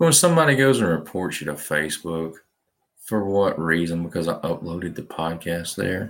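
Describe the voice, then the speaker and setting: Recorded very cleanly against a silent background, a man with a Southern US accent speaks in a very deep, low pitch with ordinary pitch variation. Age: 20s. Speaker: podcast host. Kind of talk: rant monologue. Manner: animated.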